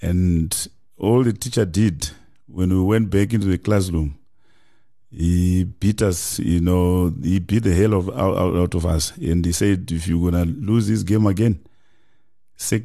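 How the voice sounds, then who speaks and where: A man's very deep, low voice, dark and mellow in tone, over a quiet background. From Zimbabwe (Kadoma). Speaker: football head coach. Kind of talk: interview. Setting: studio.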